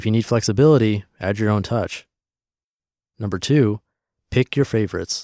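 The recording is very clean, with a silent background and a dry, close sound free of echo. A man talks at a moderate pace with lively intonation. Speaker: podcast narrator reading blog posts. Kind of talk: reading aloud; casual monologue.

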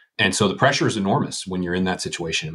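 Speaking at a very fast pace, a man with an American accent has a very deep, low pitch. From Western Pennsylvania. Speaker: former congressman and lawyer. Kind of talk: interview conversation.

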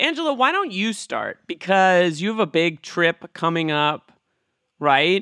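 A man with a high pitch raises and projects his voice, his tone bright and sharp and his intonation lively, at a fairly slow pace. The recording is very clean, with a silent background and a dry, close sound with no echo. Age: 40s. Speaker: podcast producer. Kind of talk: casual chat.

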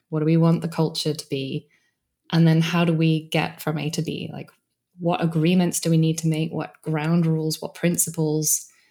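In a British accent, a woman speaks at a very deep, low pitch in a dark, mellow tone with flat, monotone intonation. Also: moderate pace. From Britain. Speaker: organizational coach and author. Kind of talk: interview conversation.

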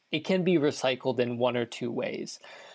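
A man talks in an unremarkable speaking voice at a medium pitch. His pitch variation is ordinary, and the background is quiet. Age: 20s. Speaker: nonprofit founder. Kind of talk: interview.

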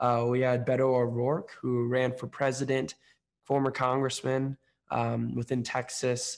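A man with an American accent talks fairly slowly. His medium-pitched voice stays monotone and flat. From Oakland, California. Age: young. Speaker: podcast host and entrepreneur. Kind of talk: interview.

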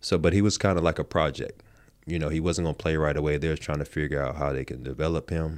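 A man's very deep, low voice with vocal fry and a North Carolina accent, very fast, with fairly even intonation. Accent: US Southern (North Carolina). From southeastern North Carolina, rural coast. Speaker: former pro basketball player. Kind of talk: interview.

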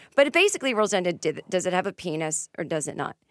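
In a Boston accent, a woman speaks at medium pitch with lively intonation. The sound is dry and close with no echo, on a very clean recording with a silent background. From Boston area, Massachusetts. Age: 40s. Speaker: comedian and author. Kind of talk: casual chat.

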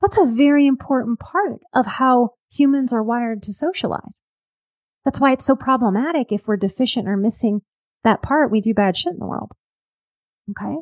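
A woman speaks with an American accent, her pitch high and her intonation lively. Her pace is moderate, and the sound is dry and close with no echo. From US South, New Orleans. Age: 40s. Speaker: life coach and psychotherapist. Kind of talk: casual interview.

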